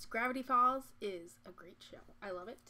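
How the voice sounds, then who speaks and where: With an American accent, a woman speaks in a bright, sharp tone and ordinary pitch variation. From Michigan. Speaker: artist streamer. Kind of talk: casual live stream chat while drawing. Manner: fast.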